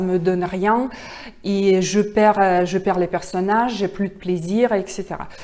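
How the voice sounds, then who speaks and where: With a Russian accent, a woman of medium pitch speaks at a very slow pace. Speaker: actress. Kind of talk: public speaking pitch. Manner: halting, many hesitations.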